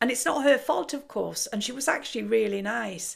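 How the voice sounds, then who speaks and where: This woman speaks with an English accent. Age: 60s. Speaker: kickboxer and biker. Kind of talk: casual talk to camera.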